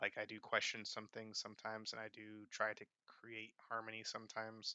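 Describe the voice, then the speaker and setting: Soft-spoken and fairly low-pitched, a man talks at a fairly quick pace. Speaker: vlogger. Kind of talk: casual talking-head vlog. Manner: halting, many fillers.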